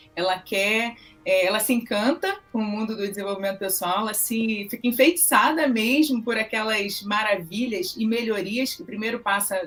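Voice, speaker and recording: A woman speaks at a fairly high pitch. She has a Rio de Janeiro accent. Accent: carioca. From Brazil, Rio de Janeiro. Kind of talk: interview.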